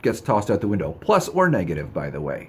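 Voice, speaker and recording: Very fast in pace, a man speaks at a fairly low pitch. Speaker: psychic reader. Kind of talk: advice monologue to camera.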